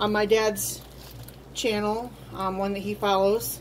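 Light background noise sits under the recording. A woman talks at a moderate pace. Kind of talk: tutorial. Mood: relaxed, a little hesitant. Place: home room. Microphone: phone near.

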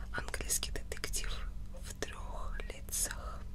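A woman talks at a very slow pace. Noticeable background noise is present. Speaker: ASMR content creator. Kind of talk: book reading, audiobook style. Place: home room. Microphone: studio mic.

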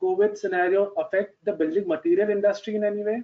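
With ordinary pitch variation, this man's voice sits high. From India. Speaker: webinar moderator. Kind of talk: moderating a panel discussion. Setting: video call. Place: home room. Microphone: headset.

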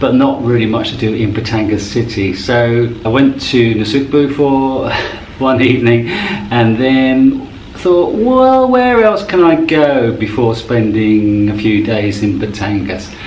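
Speech moves at a fairly slow pace with ordinary pitch variation. Audible room echo and light background noise accompany it. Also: man. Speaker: travel vlogger. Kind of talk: casual vlog chat. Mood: relaxed, amused. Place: home room. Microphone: phone near.

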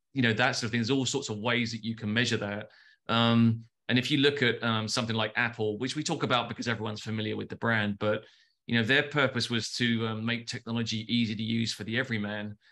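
A man with a London accent talks at a very fast pace in a monotone, flat intonation. His tone is bright and sharp against a quiet background. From London, England. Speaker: advertising agency founder. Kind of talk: casual interview. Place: home room. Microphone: video call.

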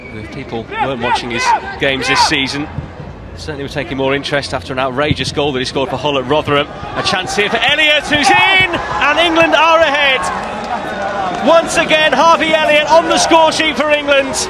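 An animated tone from a man at a fairly quick pace, with noticeable background noise. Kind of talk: sports commentary, live play-by-play. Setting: match commentary. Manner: fast, fluent, and animated, calling each pass as it happens.

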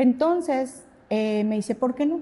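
Somewhat breathy and dark, mellow in tone, a woman speaks at a fairly slow pace. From Mexico, Saltillo; Mexico. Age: 50s. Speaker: pilates studio founder and instructor; instructor. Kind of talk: casual interview conversation. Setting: her pilates studio. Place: studio.

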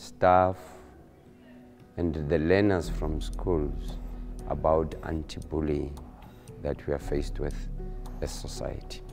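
Clear music plays behind a man with a very deep, low pitch who speaks very slowly, leaving long, frequent pauses. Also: ordinary pitch variation. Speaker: college principal. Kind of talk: interview answer. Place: hall.

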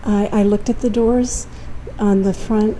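Light background noise sits behind a woman speaking with monotone, flat intonation. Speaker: citizen journalist recording a meeting. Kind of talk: questioning an official. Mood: polite but insistent. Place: office. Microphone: phone near.

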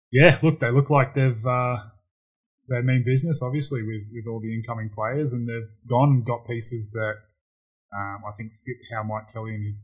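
A man's somewhat breathy voice sits at a medium pitch, moving at a moderate pace with fairly even intonation and big swings in loudness. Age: 30s. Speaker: basketball player. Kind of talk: casual chat.

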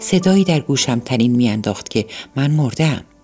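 A woman speaks in a very deep, low voice with very wide pitch swings over music in the background. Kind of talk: audiobook narration of a novel (night story).

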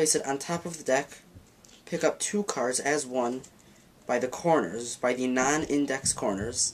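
Male speech against light background noise. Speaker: magic teacher. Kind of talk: tutorial.

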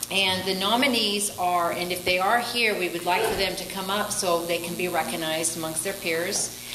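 A woman at a moderate pace with fairly even intonation, over noticeable background noise. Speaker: chamber of commerce presenter. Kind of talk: awards presentation. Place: hall. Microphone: podium.

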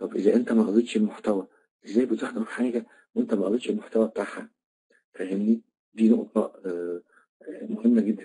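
A man with an Egyptian accent speaks at a moderate pace with long, frequent pauses. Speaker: trainer. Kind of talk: online lecture.

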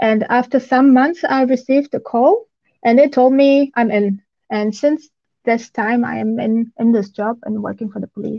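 Over a quiet background, a woman speaks at a high pitch. Her pace is moderate and her pitch varies in an ordinary way. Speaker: law enforcement OSINT analyst. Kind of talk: interview answers. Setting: video call. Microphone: video call.

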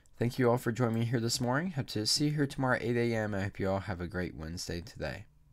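Against a quiet background, a man talks at a very fast pace with hardly any pauses. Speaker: church leader. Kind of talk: fervent prayer. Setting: church livestream. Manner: earnest, heartfelt; measured, reverent. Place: home room. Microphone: studio mic.

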